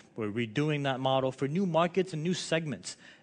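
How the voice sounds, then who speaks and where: The voice is a man's, pitched at a medium level. Its pitch moves in an ordinary way. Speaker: education business owner and tutoring association representative. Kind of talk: conference presentation. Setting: conference with translators. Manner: fast.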